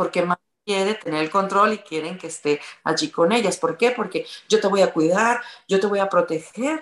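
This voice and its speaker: A woman with an unremarkable speaking voice talks at a moderate pace in a medium pitch, her intonation lively and her loudness swinging widely. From Mexico, from Tula. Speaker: radio presenter and yoga teacher. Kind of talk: casual chat.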